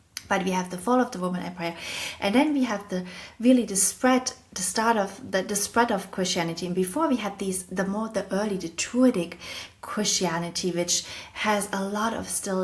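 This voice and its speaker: With a German accent, a woman talks at a moderate pace and medium pitch, her pitch varying in an ordinary way over noticeable background noise. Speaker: podcast host. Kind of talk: educational monologue.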